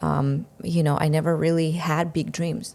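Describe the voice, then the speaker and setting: With a Russian accent, a woman talks at a fairly quick pace in a very deep, low pitch and a flat, monotone delivery. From Russia, Siberia. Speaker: entrepreneur, marketing coach. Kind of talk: podcast interview. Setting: studio.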